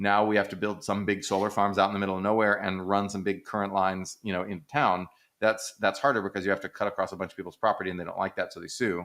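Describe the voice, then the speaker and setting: A man's very fast, fairly low-pitched speech with an American accent and hardly any pauses, in a very clean recording with a silent background. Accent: slight Texas, creeps in at times. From Texas. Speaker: economist, podcast co-host. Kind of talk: casual discussion. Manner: animated, conversational with fillers.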